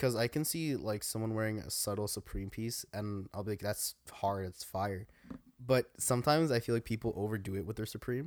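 A man's normal speaking voice, fairly low in pitch, with ordinary pitch variation and a fairly quick pace, on a very clean recording with a silent background. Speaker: podcast co-host. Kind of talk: casual banter chat. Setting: basement recording with video.

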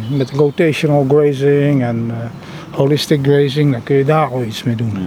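Over noticeable background noise, a man speaks at a moderate pace with a fairly high pitch. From Netherlands, The Hague. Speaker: organisational consultant. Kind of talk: casual chat. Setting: outdoors.

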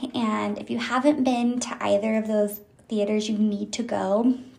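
A woman at a fairly high pitch, speaking at a fairly slow pace amid noticeable background noise. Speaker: solo podcast host. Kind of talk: casual monologue.

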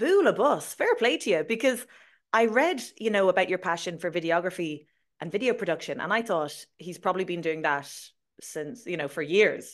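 The speaker has an Irish accent and lively intonation. The background is quiet. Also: woman, medium pitch for a woman, moderate pace. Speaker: podcast host and Irish language teacher. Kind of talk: casual interview chat. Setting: video call.

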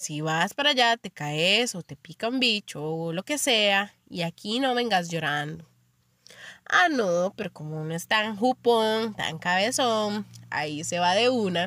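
In a very clean recording with a silent background and a dry, close sound with no echo, a woman with a Costa Rican accent speaks fairly slowly at a medium pitch, her tone bright and sharp and her intonation lively. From Costa Rica, Limón. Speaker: podcast host. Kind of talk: casual monologue.

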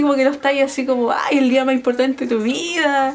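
A woman with a Chilean accent talks at a very fast pace and a high pitch. Her intonation is fairly even, with noticeable background noise. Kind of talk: casual chat.

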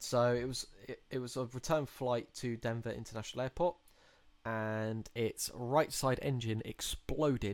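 Speaking in an ordinary speaking voice, a man keeps a medium pitch, fairly even intonation and a moderate pace. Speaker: podcast host. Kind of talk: casual chat.

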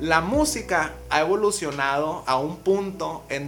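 Over noticeable background noise and audible room echo, a man talks with a fairly high pitch and ordinary pitch variation. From Mazatlán, Sinaloa, Mexico. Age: 20s. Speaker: urban music artist. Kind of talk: casual interview chat. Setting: in person at host's place.

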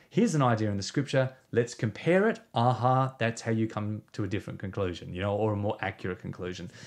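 Over a quiet background, a man with an Australian accent talks at a very fast pace with hardly any pauses. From South Australia. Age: 40s. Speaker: pastor and author. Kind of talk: interview conversation. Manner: hesitant with fillers.

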